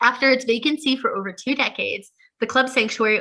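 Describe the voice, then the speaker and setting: A woman with an American accent speaks very fast in a raised, projected voice. Her pitch is high and her tone bright and sharp. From New York. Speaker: history club presenter. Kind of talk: presentation.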